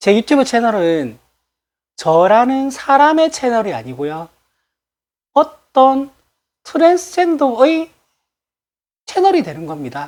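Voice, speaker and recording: A woman's high voice with very wide pitch swings, big swings in loudness, a very slow pace and long, frequent pauses. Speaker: political YouTuber. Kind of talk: casual monologue to viewers. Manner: frequent laughter, chatty.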